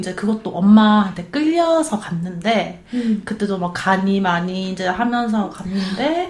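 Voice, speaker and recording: Audible room echo surrounds a woman speaking at a fairly slow pace. Her fairly high, somewhat breathy voice swings very widely in pitch. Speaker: hiking club member. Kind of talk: casual chat.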